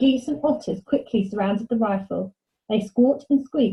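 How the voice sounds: Quiet surroundings and a natural reading voice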